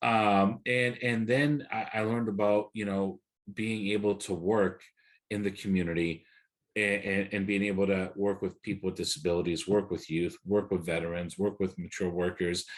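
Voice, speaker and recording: The background is quiet. A man speaks at a moderate pace in a fairly low voice with ordinary pitch variation. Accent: Portuguese. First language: Portuguese. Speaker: workforce development advisor. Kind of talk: panel discussion.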